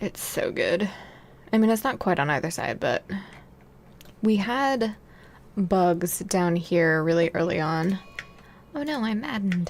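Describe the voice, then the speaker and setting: The soft-spoken delivery is fairly slow, broken by long, frequent pauses. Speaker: video game streamer. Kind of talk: casual gameplay commentary.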